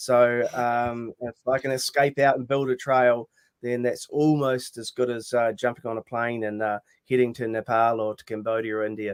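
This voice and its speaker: Delivering his words in a monotone, flat way, a man with a New Zealand accent shows big swings in loudness. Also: medium pitch for a man, moderate pace, dry, close sound with no echo. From rural New Zealand. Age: 60s. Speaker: mountaineer and motivational speaker. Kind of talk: podcast interview. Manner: hesitant, many fillers.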